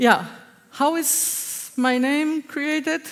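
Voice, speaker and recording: This woman talks in a Spanish accent. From Spain, Basque Country. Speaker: agile consultant. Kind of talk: conference talk. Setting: stage with audience. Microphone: echo, hears herself twice.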